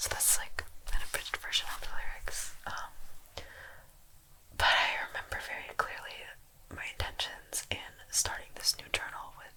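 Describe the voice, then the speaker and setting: Whispered words from a woman, moderately paced, against noticeable background noise. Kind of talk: ASMR diary reading, storytime. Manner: soft-spoken, whispered.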